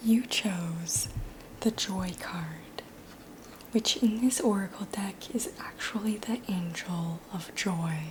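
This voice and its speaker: Soft-spoken and calm, at a very slow pace with long, frequent pauses and noticeable background noise. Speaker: tarot reader. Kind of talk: ASMR tarot reading. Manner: soft-spoken, calm.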